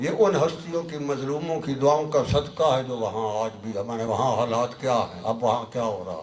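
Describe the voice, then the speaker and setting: A man's lively intonation and big swings in loudness, with hardly any pauses, noticeable background noise and audible room echo. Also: medium pitch for a man, moderate pace. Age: 70s. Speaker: Sufi religious scholar. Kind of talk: sermon. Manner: animated, exhorting.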